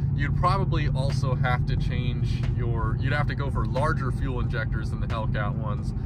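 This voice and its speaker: A man speaks at a moderate pace in a dry sound with no echo, though loud background noise runs underneath. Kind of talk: casual vlog chat. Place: car. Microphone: phone near.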